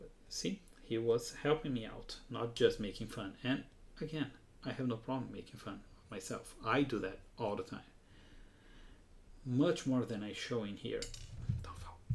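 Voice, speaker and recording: A man with a non-native accent speaks at a moderate pace and medium pitch, somewhat breathy, with ordinary pitch variation, big swings in loudness, and long, frequent pauses. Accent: non-native English accent, noticeable. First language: Portuguese. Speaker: hobbyist model builder, livestreamer. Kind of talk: live hands-on craft stream. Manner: halting, self-correcting.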